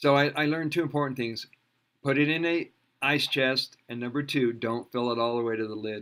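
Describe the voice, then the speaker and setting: Here a man uses a normal speaking voice at medium pitch. He talks at a fairly quick pace with ordinary pitch variation. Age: 60s. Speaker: alternative health teacher. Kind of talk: interview. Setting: video call.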